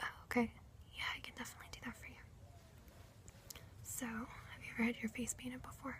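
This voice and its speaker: A woman whispers at a very fast pace with big swings in loudness. There are long, frequent pauses. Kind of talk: ASMR role play. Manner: soft-spoken, whispered.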